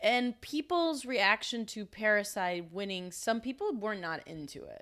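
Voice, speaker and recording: On a very clean recording with a silent background, a woman speaks at a fairly slow pace in a fairly high, bright, sharp voice, her intonation lively and her loudness swinging widely. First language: Spanish. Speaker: podcast co-host. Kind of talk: casual chat.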